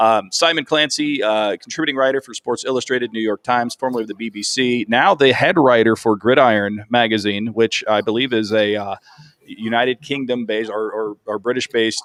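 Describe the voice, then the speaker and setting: A man at medium pitch talks at a fairly quick pace with fairly even intonation, the sound dry and close with no echo. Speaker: sports show host. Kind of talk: casual sports analysis chat. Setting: live stream. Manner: rambling, self-interrupting.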